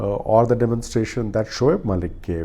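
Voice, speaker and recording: A man with a Punjabi accent, a fairly low pitch, and a dark, mellow, somewhat breathy tone, at a moderate pace with fairly even intonation. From India. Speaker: cricket commentator, vlogger. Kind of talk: solo review monologue. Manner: many filler 'uh' hesitations.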